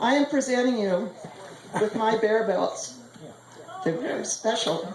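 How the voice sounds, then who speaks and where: A woman speaks at a fairly slow pace with a fairly high pitch. Noticeable background noise and audible room echo surround her. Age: 60s. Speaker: mother of the bride. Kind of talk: wedding speech.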